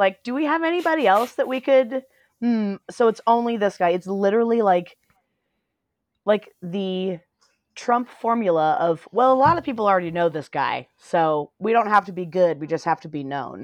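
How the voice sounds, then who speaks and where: A woman with an American accent, medium in pitch, with very wide pitch swings, a moderate pace and a quiet background. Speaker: podcast host. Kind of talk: casual chat about a news event. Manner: emotional, angry.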